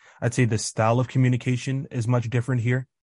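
Over a quiet background with a dry, close sound and no echo, a man with an American accent speaks at a medium pitch and a fairly quick pace, somewhat breathy. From Kansas City, US Midwest. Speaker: college student. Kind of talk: interview.

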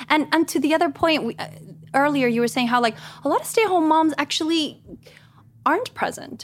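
A woman's high voice with lively intonation, a fairly quick pace, and long, frequent pauses. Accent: Spanish. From Guatemala. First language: Spanish. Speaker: stay-at-home mom and actress. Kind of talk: casual chat. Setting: studio.

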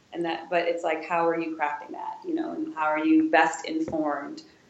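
A woman speaks in a monotone with flat intonation and a fairly low pitch. There is audible echo in the room. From Wisconsin, US Midwest. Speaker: museum curator. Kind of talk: interview.

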